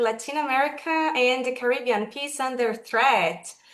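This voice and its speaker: With audible room echo, a woman with a high pitch speaks at a fairly slow pace and lively intonation. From Brazil. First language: Portuguese (speaking Spanish). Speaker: webinar moderator. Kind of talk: formal webinar moderation. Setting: video call.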